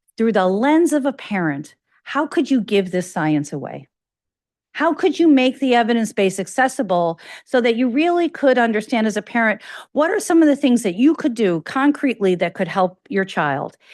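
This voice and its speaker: A fairly high-pitched woman with a slight Chicago accent and very wide pitch swings, over a quiet background. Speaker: academic researcher, invited speaker. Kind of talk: lecture. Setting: lecture hall with in-person and online audience. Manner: fast.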